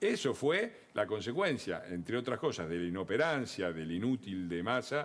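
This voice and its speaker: A man with an Argentine accent speaks at a fairly quick pace. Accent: Argentine Spanish (Rioplatense). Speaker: political commentator. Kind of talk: TV panel discussion.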